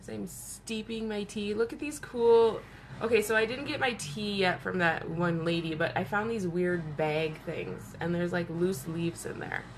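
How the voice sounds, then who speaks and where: Audible room echo surrounds a woman speaking at a moderate pace, her fairly low pitch swinging very widely. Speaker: makeup seller doing live beauty stream. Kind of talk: casual live stream chat. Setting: home, live video stream. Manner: animated.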